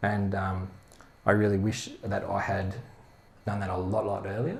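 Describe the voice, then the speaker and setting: Speaking in a monotone at a moderate pace, a man with an Australian accent has a fairly low pitch, and room echo is audible. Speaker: head of product, speaker. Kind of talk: talk at meetup.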